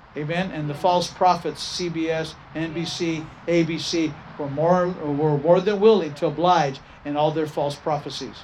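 There is noticeable background noise as a man speaks. His pitch is fairly high and his pace fairly slow. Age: 60s. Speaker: pastor. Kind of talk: sermon. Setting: church. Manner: animated.

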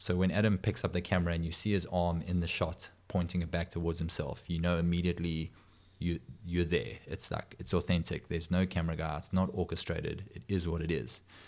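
The delivery moves at a moderate pace. Intonation stays fairly even. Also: man. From South Africa. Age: 40s. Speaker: adventure filmmaker. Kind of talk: interview.

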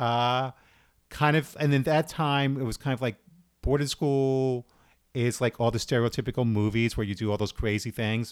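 A man with an American accent, a normal speaking voice, medium pitch and moderate pace, on a very clean recording with a silent background. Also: fairly even intonation. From New York, Brooklyn. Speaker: theater actor. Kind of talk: casual chat.

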